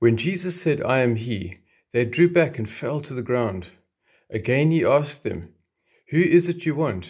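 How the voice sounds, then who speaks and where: Against a quiet background, a man speaks at a moderate pace in a somewhat breathy voice with very wide pitch swings. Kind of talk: scripture reading. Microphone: phone near.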